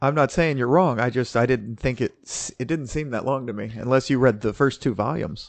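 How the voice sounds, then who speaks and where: A man with an unremarkable speaking voice talks at a fairly quick pace and medium pitch, with hardly any pauses. His pitch varies in an ordinary way, and the background is quiet. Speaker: podcast co-host. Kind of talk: casual chat.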